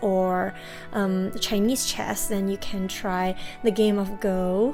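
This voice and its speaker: A woman speaks with music in the background. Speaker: toy unboxing channel host. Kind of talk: casual unboxing talk to camera.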